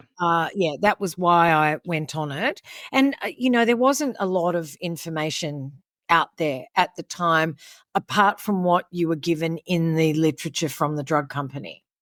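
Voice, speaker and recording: With an Australian accent, a woman speaks at a moderate pace in a fairly low voice with lively intonation, recorded very cleanly, dry and close with no echo against a silent background. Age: 70s. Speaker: podcast guest. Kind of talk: interview. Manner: animated.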